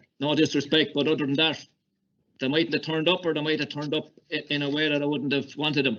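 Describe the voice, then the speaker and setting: A man in a Kilkenny Irish accent speaks at a very fast pace. His pitch is fairly high and his intonation fairly even. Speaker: hurling coach. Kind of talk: casual recollection.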